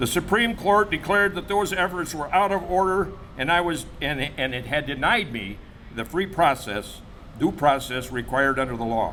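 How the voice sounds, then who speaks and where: A man with an American accent speaks at a moderate pace with very wide pitch swings. Audible room echo surrounds his voice. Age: 70s. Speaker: barber. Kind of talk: press conference statement. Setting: press conference.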